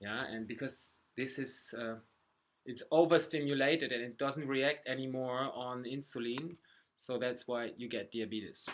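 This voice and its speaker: A man with a German accent, medium-pitched, at a fairly slow pace. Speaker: health vlogger. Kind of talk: casual talk to camera. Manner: halting.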